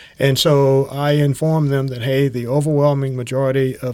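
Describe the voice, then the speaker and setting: A man with a Georgia accent. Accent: Southern American (Georgia). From US South, Tifton, south Georgia. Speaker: thoracic surgeon. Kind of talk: medical interview podcast. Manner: many filler words (uh, um).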